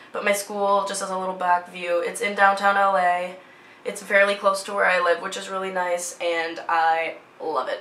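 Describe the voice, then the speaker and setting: Noticeable background noise and audible room echo accompany a woman with an American accent who speaks at a moderate pace in a medium pitch with monotone, flat intonation. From US Midwest, Minnesota (Twin Cities area). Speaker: vlogger, fashion student. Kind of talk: casual vlog chat.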